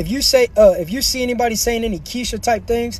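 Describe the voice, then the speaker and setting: A man speaks in an animated tone at a high pitch. Background noise is noticeable. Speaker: livestreamer. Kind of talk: live stream chat. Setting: in a car. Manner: fast.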